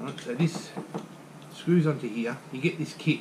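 A man at a moderate pace, ordinary pitch variation, faint background noise.

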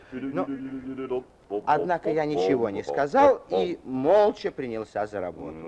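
Over noticeable background noise, a man talks at a fairly slow pace with long, frequent pauses and very wide pitch swings. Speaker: actor. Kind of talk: radio drama narration. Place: studio. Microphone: old recording.

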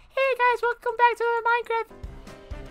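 A put-on character voice, extremely high-pitched with a bubbly, cheerful tone, at a fairly slow pace over clear music in the background.

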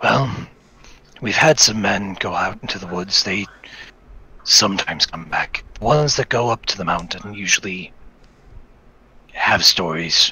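Long, frequent pauses break up the fairly low-pitched speech of a man with lively intonation. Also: moderate pace. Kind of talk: fantasy tabletop roleplay. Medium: actual play. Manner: worried, hesitant.

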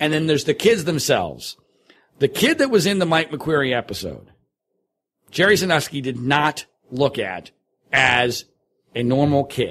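In an American accent, a man with a fairly high pitch and vocal fry speaks at a moderate pace, his intonation lively and broken by long, frequent pauses. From US Northeast, Philadelphia suburbs. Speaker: talk show host and documentary filmmaker. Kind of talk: interview. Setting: studio.

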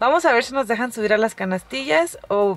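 A woman talks at a fairly quick pace. The sound is dry, with no echo. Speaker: travel vlogger. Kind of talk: casual vlog chat. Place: car. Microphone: phone near.

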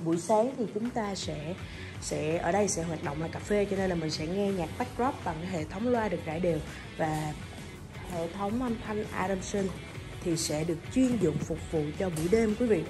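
Clear music plays in the background while a woman talks at a fairly quick pace. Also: fairly low pitch for a woman, ordinary pitch variation. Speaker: presenter. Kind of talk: product walkthrough commentary. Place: bar. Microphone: phone near.

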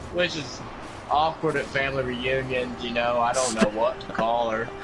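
Drawling, put-on character voice from a man at medium pitch, loud background noise behind it. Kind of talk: casual stream chat. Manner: slow drawl. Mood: joking, storytelling.

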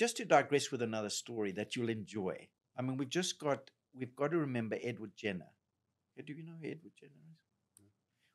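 A man speaks with a Zimbabwean accent at a fairly quick pace. His loudness swings widely against a quiet background. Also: lively intonation. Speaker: general practitioner doctor. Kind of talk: podcast interview conversation. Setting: studio. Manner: very talkative, goes off on tangents. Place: studio. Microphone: studio mic.

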